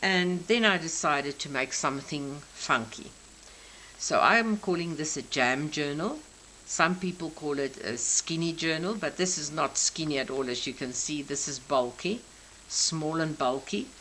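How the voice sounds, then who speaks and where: A South African accent with ordinary pitch variation at a moderate pace. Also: woman, very deep, low pitch for a woman. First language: Afrikaans. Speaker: crafter. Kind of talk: craft show-and-tell. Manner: halting.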